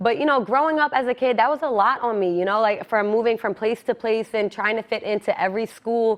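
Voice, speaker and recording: Speaking with an American accent, a woman has an ordinary speaking voice, a fairly high pitch and ordinary pitch variation. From USA, Turkish-heritage household. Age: 20s. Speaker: student podcast host. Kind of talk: casual monologue podcast.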